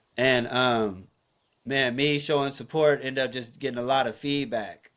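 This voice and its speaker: At a moderate pace and medium pitch, a man with an American accent has an unremarkable speaking voice and fairly even intonation. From Northern California. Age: young. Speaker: photographer and entrepreneur. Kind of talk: casual interview chat.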